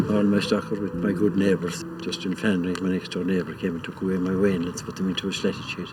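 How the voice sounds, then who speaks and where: Amid noticeable background noise, a man with a western Irish accent talks at a fairly quick pace. His pitch is very deep and low, and his intonation fairly even. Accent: Irish, west of Ireland. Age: 70s. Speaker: farmer. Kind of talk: documentary interview.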